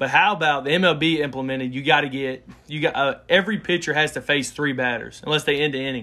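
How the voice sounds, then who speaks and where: Speaking with an Alabama accent, the voice shows ordinary pitch variation. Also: man. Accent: Southern US (Alabama). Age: 20s. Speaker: sports podcast co-host. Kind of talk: casual chat.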